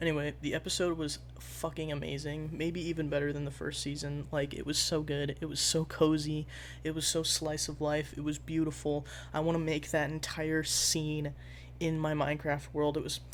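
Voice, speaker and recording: The voice is quiet and moves at a moderate pace. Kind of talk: casual talk to camera.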